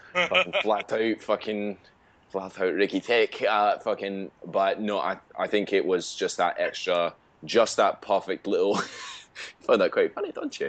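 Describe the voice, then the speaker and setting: A man in a Scottish accent at a fairly slow pace. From Scotland. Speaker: gaming podcast co-host. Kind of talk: casual chat.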